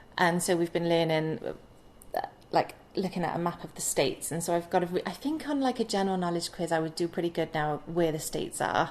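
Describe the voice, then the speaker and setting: Against noticeable background noise, a woman with a Welsh accent talks at a fairly quick pace in a fairly low pitch. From Wales. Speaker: vlogger. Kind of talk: casual chat.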